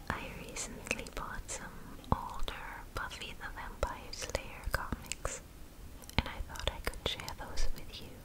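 Whispering at a fairly slow pace, a woman shifts widely in loudness over noticeable background noise. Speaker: ASMR creator. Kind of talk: ASMR comic reading. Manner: whispered, close up.

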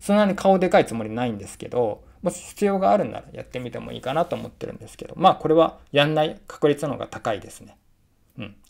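A man with a fairly high pitch talks at a very fast pace, with very wide pitch swings and big swings in loudness. Vocal fry shows up, and the background is quiet. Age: 40s. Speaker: freelance writer and researcher; vlogger. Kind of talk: casual vlog monologue. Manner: frequent filler hesitations. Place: home room. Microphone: phone near.

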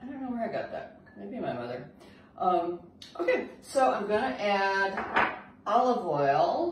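The voice moves through very wide pitch swings. Noticeable background noise and audible room echo are present. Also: woman. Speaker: home cook host. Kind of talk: cooking tutorial chat. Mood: cheerful, chatty. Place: kitchen. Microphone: camera far.

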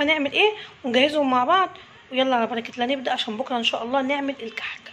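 Against crowd noise in the background, a woman talks very fast in a high pitch. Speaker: home cook vlogger. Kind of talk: casual vlog chat. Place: kitchen. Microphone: phone near.

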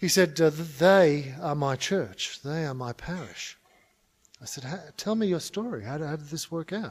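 Talking at a fairly slow pace, a man with an Australian accent has a fairly high pitch. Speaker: conference speaker on mission. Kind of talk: conference talk. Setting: stage with audience. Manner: humorous. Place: hall. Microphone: podium.

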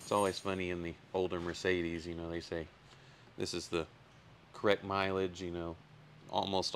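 Over light background noise, a man with a very deep, low pitch speaks in monotone, flat intonation at a moderate pace, with long, frequent pauses. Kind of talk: tutorial. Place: workshop. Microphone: phone near.

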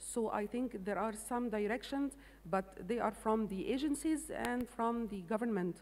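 A woman with an Arabic accent speaks at a moderate pace, her fairly high voice rising and falling in an ordinary way. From Egypt. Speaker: agricultural development manager; panelist. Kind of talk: panel discussion; panel discussion answer. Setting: stage with audience. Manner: halting. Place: stage. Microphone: handheld.

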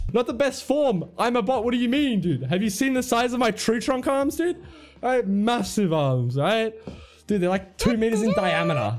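A man's high-pitched voice with lively intonation and very even loudness at a moderate pace, faint music in the background. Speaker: beatboxer and game streamer. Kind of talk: casual gaming stream talk. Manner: energetic, joking. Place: home room.

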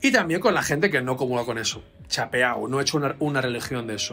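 A man talks at a fairly quick pace with lively intonation and a fairly high pitch. Faint music plays in the background. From Spain. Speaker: doctor of science and author; interview guest. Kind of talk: interview. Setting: video call. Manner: halting. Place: home room.

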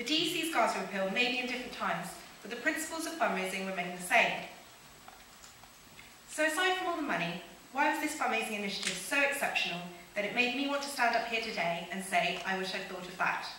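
A woman talks at a very fast pace. Audible room echo and light background noise are present. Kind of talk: prepared conference talk. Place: stage. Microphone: podium.

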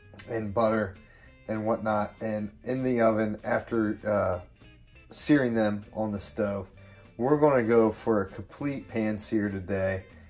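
With ordinary pitch variation, a man talks fairly slowly while faint music sounds in the background. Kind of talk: casual cooking tutorial. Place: kitchen. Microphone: phone near.

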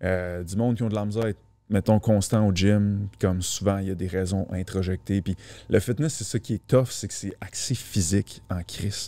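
The man's voice has a dark, mellow tone and a fairly low pitch. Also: fairly even intonation, moderate pace. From Quebec. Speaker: fitness coach. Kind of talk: casual chat. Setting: studio. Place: studio. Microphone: studio mic.

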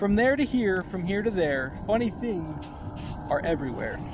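The voice has a playful, warm tone and very wide pitch swings at a moderate pace. The sound is dry with no echo, though background noise is noticeable. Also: man. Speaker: elementary school teacher. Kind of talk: children's picture book read aloud with a sing-song, rhyming bedtime-story lilt. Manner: playful, warm and gently rhythmic, bouncing through rhymes with asides to kids; casual and chatty between reading, youthful teacher friendliness. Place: boat. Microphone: phone near.

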